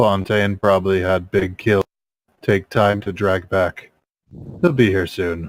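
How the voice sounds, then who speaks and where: A man's put-on character voice, very deep and low in pitch, at a fairly slow pace with long, frequent pauses. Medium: actual play. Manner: terse broken speech, drops small words.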